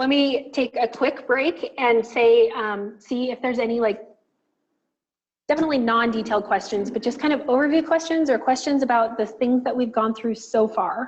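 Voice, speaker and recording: This woman has a high-pitched voice. Her pitch moves in an ordinary way. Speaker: software trainer. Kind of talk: tutorial. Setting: video call. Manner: fast.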